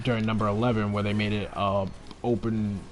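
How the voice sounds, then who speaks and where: A man speaks, and the room echo around him is audible. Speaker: gaming streamer. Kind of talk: casual live-stream commentary. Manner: speaking in a low voice; hesitant, many fillers.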